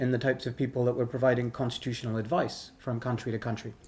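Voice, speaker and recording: The speaker is male. He talks with an American accent. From British Indian American. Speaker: constitutional law expert, lecturer. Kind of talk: lecture. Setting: workshop with interpreters. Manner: fast.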